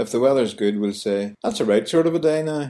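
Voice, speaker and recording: A man with a Belfast accent on a very clean recording with a silent background. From Northern Ireland, Belfast. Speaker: language tutor. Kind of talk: scripted narration.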